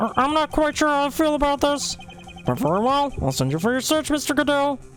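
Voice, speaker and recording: Over clear background noise, a high-pitched, put-on character voice runs at a fairly quick pace. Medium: game stream. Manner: hesitant, stammering.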